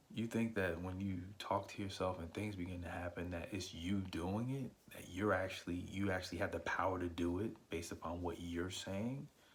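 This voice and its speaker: Soft-spoken and somewhat breathy, a man talks with a very deep, low pitch and fairly even intonation. He keeps a moderate pace with hardly any pauses. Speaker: podcast host. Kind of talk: devotional talk. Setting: at home on vacation.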